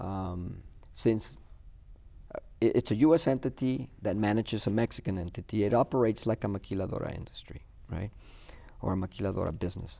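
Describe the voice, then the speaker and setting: Pausing long and often, a man speaks in a fairly low pitch and a dark, mellow tone with ordinary pitch variation. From US-Mexico border, Laredo, Texas. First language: Spanish. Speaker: business owner. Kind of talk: TV interview. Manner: halting, many fillers and repeats.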